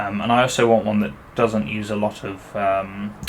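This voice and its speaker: A man with a British accent talks at a moderate pace. His pitch is fairly low, with noticeable background noise. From United Kingdom. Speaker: gaming YouTuber. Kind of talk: gameplay commentary. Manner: casual, hesitant with many fillers.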